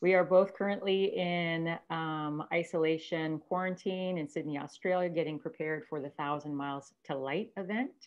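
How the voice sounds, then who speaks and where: This woman's voice sits fairly low in pitch and moves at a moderate pace. She barely pauses, and the background is quiet. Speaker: podcast host. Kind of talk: podcast interview hosting. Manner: upbeat. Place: home room. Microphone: video call.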